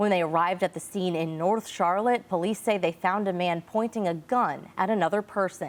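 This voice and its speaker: Using a plain, everyday voice, the speaker moves at a fairly quick pace with ordinary pitch variation. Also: woman. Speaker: TV news anchor. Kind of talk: local TV news anchoring.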